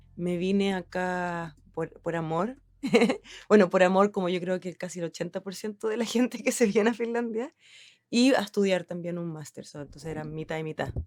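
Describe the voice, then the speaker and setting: In a Chilean accent, a woman speaks at medium pitch and a moderate pace, with ordinary pitch variation and big swings in loudness. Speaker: designer. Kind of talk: interview. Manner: hesitant, many fillers.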